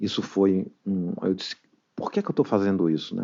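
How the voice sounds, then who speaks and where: This man talks at a fairly quick pace in a northeastern Brazilian accent. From Brazil, northeastern family. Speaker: recovering alcoholic, AA member. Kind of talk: testimony.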